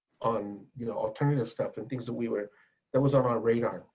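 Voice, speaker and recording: Talking at a very fast pace, a man has a dark, mellow tone, fairly even intonation and a somewhat breathy sound. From California, US. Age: 60s. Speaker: music journalist and radio host. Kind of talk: panel discussion. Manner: halting with many repetitions.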